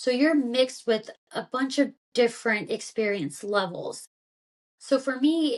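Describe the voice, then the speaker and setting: A woman with a Kentucky accent at a moderate pace. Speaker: former army intelligence officer. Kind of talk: interview. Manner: casual, many fillers.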